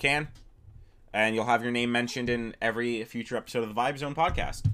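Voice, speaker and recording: Speaking at a fairly quick pace, a man keeps his intonation fairly even. His pitch is medium. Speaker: podcast host. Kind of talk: casual chat. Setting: video call.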